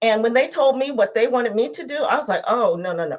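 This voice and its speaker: Very fast and full of lively intonation, a woman talks at a fairly high pitch. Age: 60s. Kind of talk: interview. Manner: halting.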